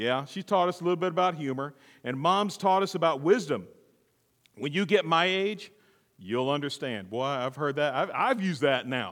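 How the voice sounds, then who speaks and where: In a very clean recording with a silent background, a man with a plain, everyday voice speaks at a fairly high pitch and a moderate pace, his intonation lively. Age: 50s. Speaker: pastor. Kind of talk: sermon.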